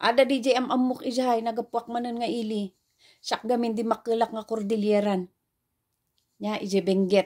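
At a moderate pace and with fairly even intonation, a woman speaks over a quiet background. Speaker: preacher. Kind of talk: sermon. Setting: online video. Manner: formal; earnest. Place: home room. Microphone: phone near.

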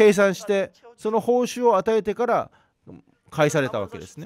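A man with a Korean accent, high-pitched, with lively intonation. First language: Korean (speaking Japanese). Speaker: pastor. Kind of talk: sermon.

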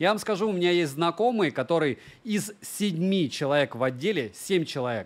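A high-pitched man at a moderate pace, lively in his intonation. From Russia, Murmansk region (Monchegorsk); Russia. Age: 30s. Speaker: tech reviewer and streamer; tech blogger. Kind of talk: livestream monologue. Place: home room. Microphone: studio mic.

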